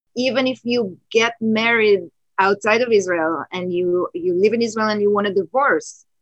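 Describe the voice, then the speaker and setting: With an ordinary speaking voice, a woman talks at a moderate pace and medium pitch, showing ordinary pitch variation in a dry, close sound with no echo. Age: 50s. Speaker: photographer and teacher. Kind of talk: casual conversation. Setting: video call from home.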